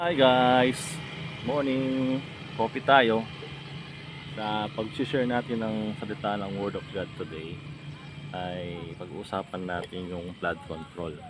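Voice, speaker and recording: A man at a very slow pace, lively in intonation, with long, frequent pauses and noticeable background noise. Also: medium pitch for a man. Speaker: lay preacher vlogger. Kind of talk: informal devotional talk. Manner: casual, hesitant with fillers.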